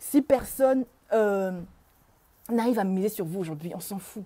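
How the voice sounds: At a fairly slow pace, a woman speaks with lively intonation, a medium pitch and a dark, mellow tone.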